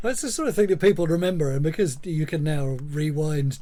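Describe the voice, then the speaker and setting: A man talks at a fairly quick pace in a fairly high pitch. It is a plain, everyday voice. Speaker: podcast host. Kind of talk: podcast host conversation.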